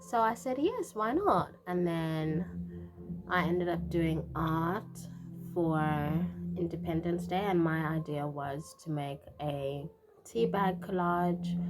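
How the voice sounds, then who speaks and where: Speaking at a very slow pace with long, frequent pauses, a woman is heard over noticeable background noise. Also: fairly low pitch for a woman, ordinary pitch variation. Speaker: artist. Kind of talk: casual vlog.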